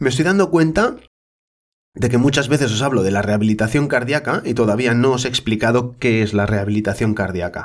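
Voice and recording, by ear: A hoarse, put-on character voice with ordinary pitch variation, delivered at a fairly quick pace. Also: man, medium pitch for a man.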